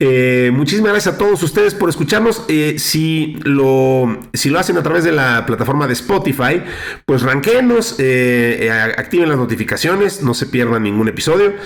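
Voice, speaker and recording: A man talks at a moderate pace and fairly high pitch, his voice making very wide pitch swings at very even loudness. He leaves hardly any pauses, and noticeable background noise is present. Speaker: podcast host. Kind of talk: casual chat. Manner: hesitant with many fillers.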